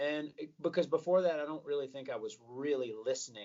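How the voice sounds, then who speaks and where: A man with a Southern US accent talks at a moderate pace. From US South, Atlanta, Georgia. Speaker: rock singer and guitarist. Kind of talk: interview.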